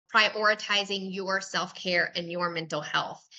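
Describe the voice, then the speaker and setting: A woman with a Southern US accent, a bright, sharp tone and a fairly slow pace. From US South. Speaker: podcast host. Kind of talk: casual interview chat.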